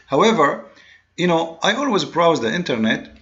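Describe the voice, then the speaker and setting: A man talks with very wide pitch swings amid noticeable background noise. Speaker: religious commentator, video blogger. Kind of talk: monologue commentary video. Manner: fast; halting, with many repetitions and fillers.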